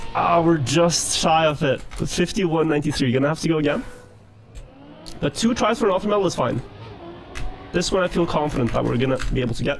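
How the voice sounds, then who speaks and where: Music plays in the background as the speaker talks at a fairly quick pace in a Norwegian accent. The intonation is lively, the loudness very even, and the pauses long and frequent. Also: man, fairly high pitch for a man. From Norway. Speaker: speedrunner. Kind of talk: live gameplay commentary.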